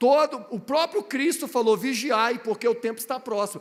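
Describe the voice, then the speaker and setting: A man with an extremely high pitch and ordinary pitch variation talks at a fairly slow pace. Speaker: guest preacher. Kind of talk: sermon. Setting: church.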